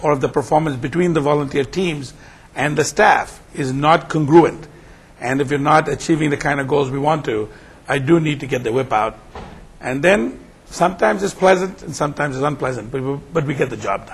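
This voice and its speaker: A man at a fairly high pitch, talking at a fairly quick pace with ordinary pitch variation over noticeable background noise. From India. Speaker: nonprofit executive director. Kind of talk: interview. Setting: conference.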